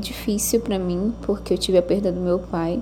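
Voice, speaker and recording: Noticeable noise is present in the background. Over it, a woman speaks at a moderate pace. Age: 20s. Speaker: architect. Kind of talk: interview. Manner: hesitant, many fillers.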